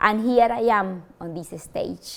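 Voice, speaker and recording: This woman's voice sits fairly high. She has a Spanish accent. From Colombia. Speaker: university language lecturer. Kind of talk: motivational talk. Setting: stage with audience. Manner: halting, with fillers.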